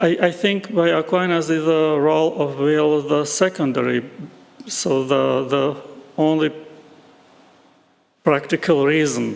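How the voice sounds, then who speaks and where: A man with a non-native accent speaks at a fairly slow pace with long, frequent pauses, his fairly high voice holding fairly even intonation and very even loudness. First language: not English. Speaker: philosophy speaker at academic conference. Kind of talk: conference Q&A discussion. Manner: halting, many hesitations.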